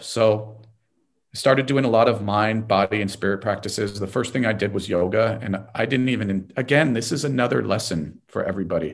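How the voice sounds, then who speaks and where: A man with a Californian accent at a fairly quick pace. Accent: General American (California). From Los Angeles. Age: 50s. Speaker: lawyer and entrepreneur. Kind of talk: interview.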